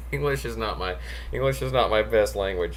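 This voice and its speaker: With an American accent, a man is talking. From United States. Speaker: meditation and occult class teacher. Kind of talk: casual live-stream class chat. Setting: live stream with online chat. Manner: halting.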